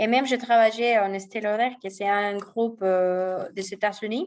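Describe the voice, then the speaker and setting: The intonation stays fairly even while the loudness moves in big swings. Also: woman. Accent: strong Spanish. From Mexico. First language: Spanish (speaking French). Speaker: e-commerce marketing professional. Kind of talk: guest talk answering questions. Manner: hesitant, many fillers.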